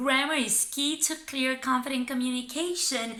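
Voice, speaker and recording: In a raised, projected voice, a woman speaks at a high pitch with a bright, sharp tone and ordinary pitch variation. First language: Romanian. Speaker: English teacher. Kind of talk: tutorial.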